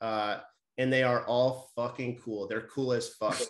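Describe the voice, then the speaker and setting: This man has an unremarkable speaking voice, pitched in the medium range and set at a moderate pace. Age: 40s. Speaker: hardcore band musician. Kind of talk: casual chat. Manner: casual, many fillers and restarts.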